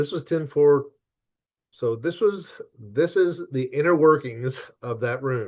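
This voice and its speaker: Against a quiet background, a man with a fairly high pitch talks at a very slow pace. He takes long, frequent pauses, and his pitch varies in an ordinary way. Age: 60s. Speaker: licensed professional counselor. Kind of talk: webinar presentation. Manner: halting.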